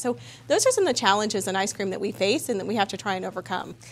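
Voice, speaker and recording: With some vocal fry at a medium pitch, a woman speaks over light background noise. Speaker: consumer goods company representative. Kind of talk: interview. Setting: studio. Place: studio.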